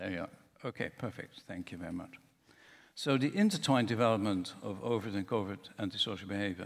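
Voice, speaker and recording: A man talks very fast in a fairly low voice, his pitch moving in an ordinary way. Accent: Dutch. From Netherlands. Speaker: professor. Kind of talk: conference talk. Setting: conference room with audience.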